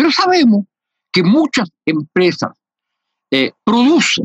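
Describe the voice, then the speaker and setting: Recorded dry and close with no echo, a man talks at a high pitch. His pitch swings very wide. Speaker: sociologist radio host. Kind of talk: interview. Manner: hesitant with many fillers.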